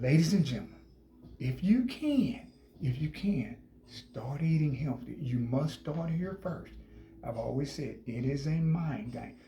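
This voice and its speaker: Amid audible room echo, a man talks at a fairly slow pace and a fairly high pitch, his dark, mellow tone somewhat breathy and his intonation lively. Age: 60s. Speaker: health vlogger. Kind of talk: casual vlog talk. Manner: animated.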